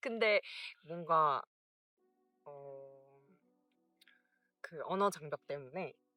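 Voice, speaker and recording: Over music in the background, the speaker uses ordinary pitch variation and long, frequent pauses, in a dry, close sound with no echo. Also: woman. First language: Korean. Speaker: vlogger. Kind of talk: casual chat.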